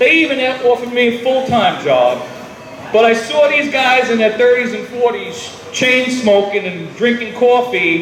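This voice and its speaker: Loud and at a fairly slow pace, a man with an American accent speaks at an extremely high pitch, with noticeable background noise and audible room echo. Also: ordinary pitch variation. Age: 50s. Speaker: retiring firefighter. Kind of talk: retirement speech. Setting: party with audience and microphone.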